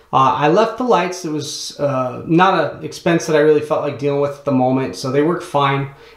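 Against a quiet background, a man's voice carries audible room echo. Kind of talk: tutorial. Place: bathroom. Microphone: phone near.

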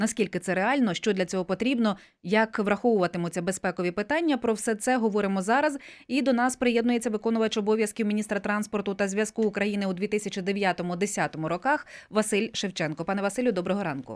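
An ordinary speaking voice comes from a woman at medium pitch. She talks at a fairly quick pace. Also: ordinary pitch variation, very clean recording, silent background. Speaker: radio host. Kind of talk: radio interview. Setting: studio.

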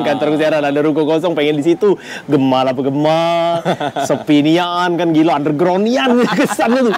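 A man talks at a fairly high pitch with ordinary pitch variation. Noticeable noise sits in the background. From Palembang, Indonesia. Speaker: stand-up comedian. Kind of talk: casual interview answer. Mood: relaxed, joking, laughing. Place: cafe.

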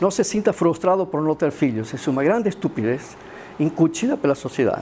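With light background noise, a man in an Argentine accent speaks at a fairly quick pace. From Argentina, Córdoba; Argentina. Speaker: philosopher; philosophy lecturer. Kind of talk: lecture. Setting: stage with audience. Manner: gets louder as he gets animated; halting, many fillers. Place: classroom.

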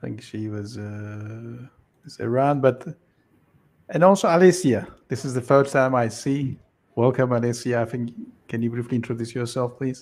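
A man speaks at a moderate pace with ordinary pitch variation, big swings in loudness, and long, frequent pauses. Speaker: researcher presenting a study. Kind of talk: work meeting presentation. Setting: video call. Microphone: video call.

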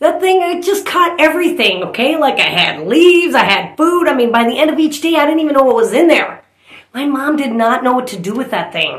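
A woman at a fairly quick pace, with audible room echo over a quiet background. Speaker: comedian. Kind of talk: comedic storytelling monologue. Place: home room. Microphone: phone near.

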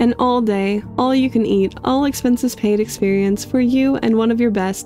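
A woman with a fairly high voice speaks at a moderate pace, her intonation fairly even and her loudness very even, with music playing in the background. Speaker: YouTube lore theorist. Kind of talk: read story.

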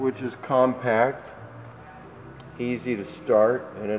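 Light background noise sits behind a man as he speaks. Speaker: seller presenting a vehicle. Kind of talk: walkaround sales commentary. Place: hall. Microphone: phone near.

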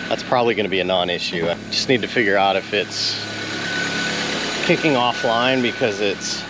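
Amid loud background noise, a man speaks with ordinary pitch variation in a dry sound with no echo. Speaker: hobbyist vlogger. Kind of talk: casual vlog chat. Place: street. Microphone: phone near.

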